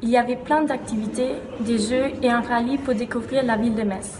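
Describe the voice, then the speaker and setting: With music in the background and audible room echo, a woman speaks in a German accent at a high pitch. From Austria, Vienna. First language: German (speaking French). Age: 20s. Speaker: university student. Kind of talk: promotional testimonial. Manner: enthusiastic.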